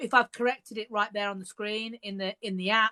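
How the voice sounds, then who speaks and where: A woman's bright, sharp voice with a Birmingham accent. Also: dry, close sound with no echo. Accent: Birmingham (Brummie). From England, Birmingham. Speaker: author. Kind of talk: casual chat. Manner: halting.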